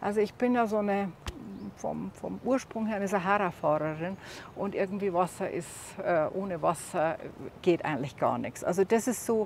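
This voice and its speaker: A woman at a medium pitch and moderate pace, with ordinary pitch variation and long, frequent pauses. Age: 60s. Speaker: solo overland traveler. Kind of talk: casual tour of her vehicle. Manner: halting, many fillers.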